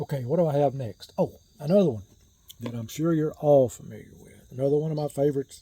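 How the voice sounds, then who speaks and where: A man speaks at a moderate pace with a fairly high pitch and ordinary pitch variation. His tone is relaxed, dark and mellow, and somewhat breathy. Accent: American. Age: 60s. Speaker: shaving gear YouTuber. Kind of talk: casual chat. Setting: outdoors on a porch.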